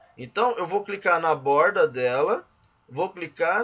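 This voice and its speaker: With very wide pitch swings, a man speaks in a raised, projected voice at a very slow pace. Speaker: physical education teacher and course instructor. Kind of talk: tutorial.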